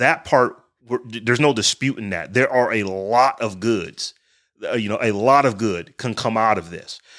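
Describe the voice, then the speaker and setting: A man speaks at a moderate pace with a medium pitch and ordinary pitch variation. It is a plain, everyday voice. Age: 40s. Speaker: tech podcast host. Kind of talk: casual chat.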